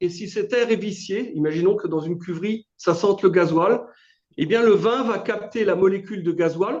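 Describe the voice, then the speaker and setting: A man with a slight Alsatian accent speaks at a fairly slow pace. His pitch is high, with ordinary variation. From Alsace, France. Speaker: business owner. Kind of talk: testimony. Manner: hesitant, many fillers.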